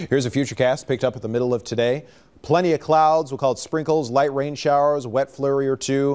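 A man's speech moves at a fairly quick pace, its pitch varying in an ordinary way. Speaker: TV meteorologist. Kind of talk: weather report, broadcast forecast delivered to camera, conversational. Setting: TV studio. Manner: brisk, fluent, friendly and matter-of-fact, rattling off temperatures and conditions. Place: studio.

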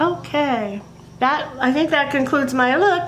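Noticeable background noise sits under speech delivered at a very slow pace. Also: woman. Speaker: beauty and makeup video creator. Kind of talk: makeup tutorial talk to camera. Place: home room. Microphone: webcam.

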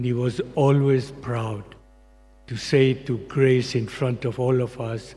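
Somewhat breathy and dark, mellow in tone, a man's voice moves at a very slow pace with monotone, flat intonation. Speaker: longtime family friend. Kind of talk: eulogy with light anecdotes. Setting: church memorial service. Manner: warm, fond, laughing. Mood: warm, fond remembrance. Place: hall. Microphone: podium.

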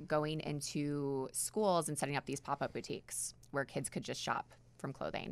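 This woman has a very deep, low pitch and an American accent. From New York. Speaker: nonprofit executive director. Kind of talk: radio interview. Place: studio. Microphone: studio mic.

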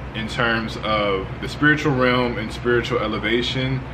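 A man talks at a fairly slow pace with noticeable background noise. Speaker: spiritual content creator. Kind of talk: tutorial. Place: home room.

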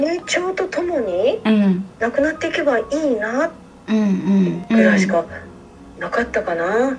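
Over light background noise, a woman speaks very slowly at a fairly high pitch, with very wide pitch swings. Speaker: mother of the video host. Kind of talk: interview answer. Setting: phone line. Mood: warm, reflective. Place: home room.

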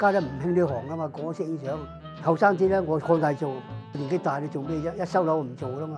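A man's fairly high voice with fairly even intonation, clear music playing in the background. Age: 80s+. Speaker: photography studio owner. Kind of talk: interview answer. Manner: casual, conversational. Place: shop.

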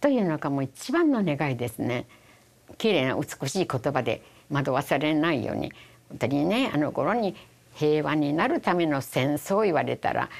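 A woman with a Hiroshima accent, very deep and low in pitch, with lively intonation at a moderate pace. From Japan, Hiroshima; Japan. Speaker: atomic bomb survivor. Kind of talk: testimony. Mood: solemn, reflective. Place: studio. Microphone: lapel.

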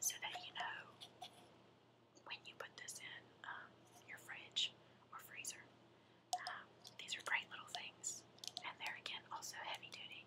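Whispering at a fairly slow pace with long, frequent pauses, a woman speaks with an American accent. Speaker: mother. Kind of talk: ASMR show and tell. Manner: whispered. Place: home room. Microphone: webcam.

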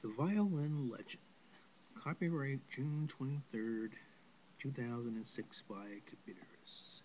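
A man speaks with a somewhat breathy voice. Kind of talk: spoken word poem read aloud. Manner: measured, lyrical, sing-song rhythm with rhymed cadence.

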